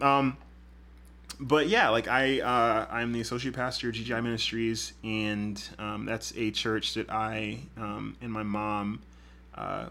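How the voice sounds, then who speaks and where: A man's fairly low-pitched voice with a bright, sharp tone. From Houston, Texas (moved from Grenada at age 2-3). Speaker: podcast host, associate pastor. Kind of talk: casual monologue. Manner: hesitant, many fillers.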